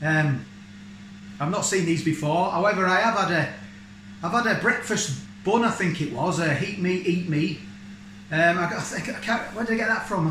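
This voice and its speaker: A man's high pitch with ordinary pitch variation, at a moderate pace, amid light background noise and audible room echo. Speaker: vlogger. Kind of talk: casual vlog chat. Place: kitchen. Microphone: phone near.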